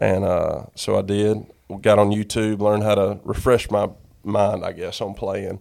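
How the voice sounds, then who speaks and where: With a North Carolina accent, a man speaks at a fairly slow pace with a fairly low pitch and monotone, flat intonation. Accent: US Southern, North Carolina. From North Carolina, Sanford. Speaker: songwriter. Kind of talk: casual chat.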